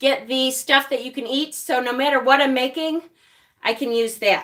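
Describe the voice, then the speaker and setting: This woman has a high voice and a Rochester accent. She talks at a moderate pace with fairly even intonation. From Rochester, New York. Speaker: witchcraft YouTuber. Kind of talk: live stream tutorial with chat. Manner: casual, chatty.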